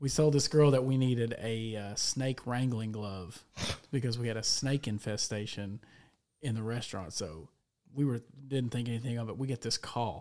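A man with a medium pitch and a dark, mellow tone speaks at a moderate pace. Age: 30s. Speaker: podcast host. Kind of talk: casual chat.

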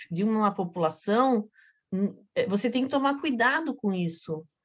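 Against a quiet background, a woman talks with a fairly high pitch and ordinary pitch variation. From Florianópolis island, Santa Catarina, Brazil. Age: 50s. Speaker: actress and clown. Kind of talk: casual interview chat.

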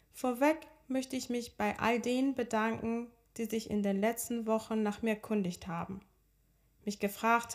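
With fairly even intonation, a woman's fairly high voice moves along at a moderate tempo. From Iran (Tehran), moved to Hamburg at 13. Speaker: podcast host and personal coach. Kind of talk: personal storytelling monologue.

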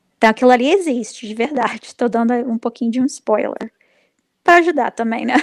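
High-pitched female speech at a fairly quick pace with ordinary pitch variation, in a dry, close sound with no echo. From Brazil. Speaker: comic book writer. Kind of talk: casual interview.

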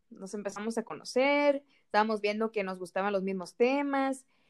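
A woman with an ordinary speaking voice, fairly high pitch, ordinary pitch variation and a moderate pace. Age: 20s. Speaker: nutrition student, podcast co-host. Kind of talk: casual chat. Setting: recording separately at home.

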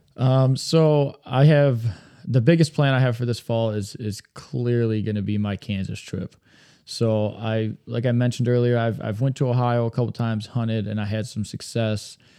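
Against a quiet background, a man with a Michigan accent speaks at medium pitch and a moderate pace, his dark, mellow tone carrying fairly even intonation. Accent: US Midwest (Michigan). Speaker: podcast co-host, deer hunter. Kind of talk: casual chat.

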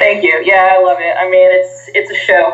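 An American accent at a moderate pace, with audible room echo and noticeable background noise. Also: woman. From New Jersey, US. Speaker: professional wrestler. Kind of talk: casual interview.

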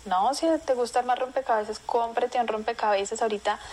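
A woman talks fairly quickly at a fairly high pitch, her pitch varying in an ordinary way, while noticeable background noise plays behind her. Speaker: marketing professional. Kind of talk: interview. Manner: animated.

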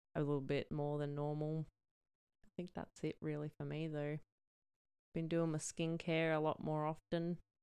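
A woman talks with an Australian accent at a moderate pace, leaving long, frequent pauses. Her pitch is very deep and low, her tone dark and mellow, and her intonation flat and monotone. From New South Wales, Australia. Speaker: podcast co-host. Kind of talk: casual chat.

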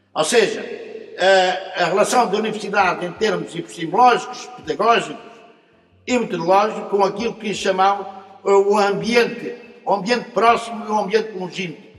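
Over noticeable background noise and audible room echo, a man speaks at a moderate pace in a high voice with fairly even intonation. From Portugal, Lisbon district. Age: 70s. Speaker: retired professor. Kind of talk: autobiographical narrative. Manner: halting, repeats words.

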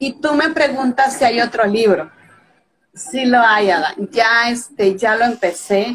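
A woman talks very slowly, her fairly high voice rising and falling in a lively way. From Mexico (Veracruz). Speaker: author. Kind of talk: interview. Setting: live video call.

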